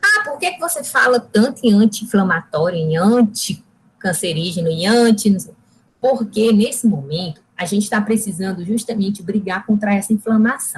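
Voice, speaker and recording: Somewhat breathy, a woman speaks at medium pitch and a moderate pace with lively intonation. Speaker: nutritionist giving a talk. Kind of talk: lecture.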